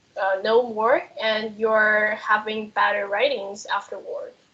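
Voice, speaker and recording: Speaking with a non-native accent, a woman has a fairly high pitch and a bright, sharp tone. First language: not English. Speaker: business student. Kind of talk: panel discussion. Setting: video call. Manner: halting.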